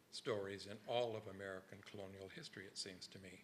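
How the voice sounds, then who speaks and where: Moderately paced male speech, fairly low in pitch, with the room's echo audible. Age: 70s. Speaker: history professor. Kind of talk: lecture.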